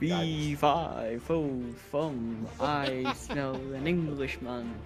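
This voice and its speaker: Clear music plays in the background as a man does a put-on character voice. He talks at a very slow pace with medium pitch. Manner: menacing.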